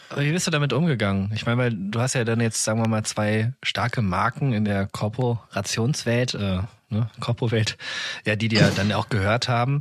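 A man speaks in an unremarkable speaking voice at a medium pitch, with ordinary pitch variation. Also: moderate pace. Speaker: podcast host. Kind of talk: interview.

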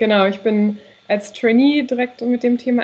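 With an ordinary speaking voice, a woman talks fairly high in pitch and keeps her intonation fairly even. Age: 20s. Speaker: PR trainee. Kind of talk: casual chat.

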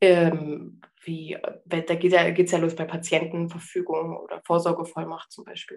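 A woman speaks at a fairly slow pace, her loudness swinging widely from moment to moment. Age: 30s. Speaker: palliative care nurse. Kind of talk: casual chat. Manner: halting.

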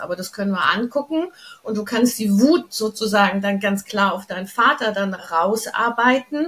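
A woman talks at a moderate pace in an unremarkable speaking voice. Her pitch is fairly high. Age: 60s. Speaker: channeling coach, former opera singer. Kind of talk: interview.

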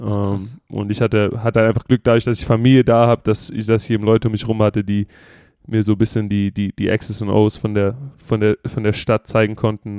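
A man speaks at a fairly quick pace in a fairly low, dark, mellow voice with monotone, flat intonation. The sound is dry and close with no echo, over a quiet background. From Germany. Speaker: American football player. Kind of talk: casual chat. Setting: video call. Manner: halting, many repeated words.

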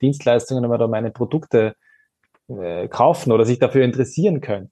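At a fairly quick pace, a man with an unremarkable speaking voice talks at a medium pitch with ordinary variation. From Austria. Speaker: influencer and advocacy communications head. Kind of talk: panel discussion.

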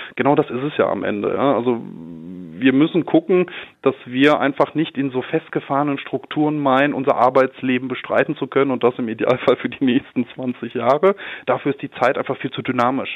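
At a fairly quick pace, a man speaks in a normal speaking voice. His pitch is medium and his intonation fairly even. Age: 30s. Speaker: commercial real estate manager. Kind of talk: interview. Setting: phone call from his office. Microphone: telephone line.

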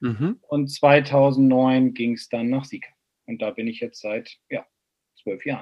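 Very slowly, a man talks at a medium pitch with fairly even intonation. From northern Germany, Bremen. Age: 40s. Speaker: golf instructor. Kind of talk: casual chat.

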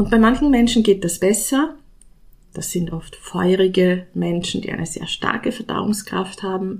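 A woman speaks at a fairly slow pace. Her voice is somewhat breathy. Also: medium pitch for a woman, ordinary pitch variation. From Austria. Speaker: nutrition scientist. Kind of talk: solo podcast talk.

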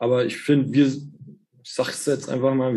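At a moderate pace, a man speaks in a medium pitch. He has a normal speaking voice. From Germany, eastern Hesse. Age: 30s. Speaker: orthopedic technician. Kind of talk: casual chat.

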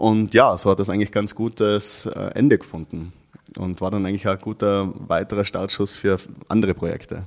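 A man with an unremarkable speaking voice, a fairly low pitch and a moderate pace. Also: fairly even intonation. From Austria, Tyrol (Innsbruck). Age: 30s. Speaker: artist and activist. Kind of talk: interview.

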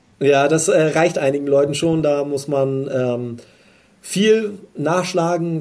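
This man's fairly high voice has a dark, mellow tone and fairly even intonation. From northern Germany, Hamburg. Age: 20s. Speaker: electrician in master training. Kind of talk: interview.

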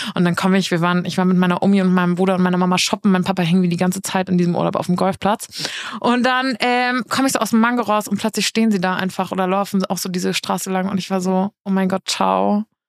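A woman at a medium pitch, very fast pace, very even loudness and fairly even intonation, in a dry, close sound with no echo. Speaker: podcast co-host. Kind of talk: casual chat. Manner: same intonation for the opening line every time.

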